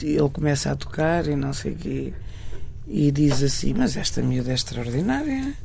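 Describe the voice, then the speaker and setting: A woman's voice carries audible room echo. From Portugal, Marinha Grande and Porto. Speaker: fado singer. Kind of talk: interview. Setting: radio studio. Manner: halting.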